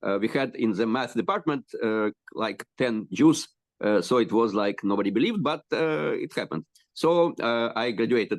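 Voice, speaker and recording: Speaking in a Russian accent, a man uses lively intonation at a medium pitch and moderate pace. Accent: Russian-speaking Eastern European. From Ukraine, Kyiv. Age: 60s. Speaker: rabbi and educator. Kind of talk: interview introduction. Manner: halting, many fillers.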